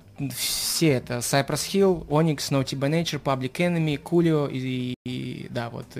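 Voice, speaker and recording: Over noticeable background noise, a man with a fairly high voice talks at a fairly slow pace with fairly even intonation and hardly any pauses. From Saint Petersburg, Russia. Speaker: rapper. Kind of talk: radio interview.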